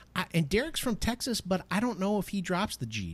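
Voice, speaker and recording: A man speaks at a fairly quick pace with a somewhat breathy, animated delivery and very wide pitch swings, in a very clean recording with a silent background. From US. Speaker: podcast host. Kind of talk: casual chat.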